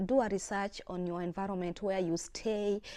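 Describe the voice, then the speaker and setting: Loud and fairly slow, a woman speaks with an American accent against a quiet background. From outside the US. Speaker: video blogger. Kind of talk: casual vlog talk. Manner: trying to speak loudly; halting, many fillers.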